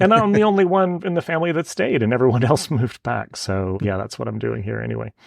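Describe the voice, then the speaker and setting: A man with a Denver accent talks at a very fast pace with hardly any pauses. Noticeable background noise runs underneath. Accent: American (Denver). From US, Denver. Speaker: photographer. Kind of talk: interview.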